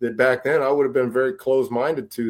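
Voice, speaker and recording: A man speaks with an American accent at medium pitch. It is a plain, everyday voice. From Montana. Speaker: rapper. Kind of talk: casual interview chat.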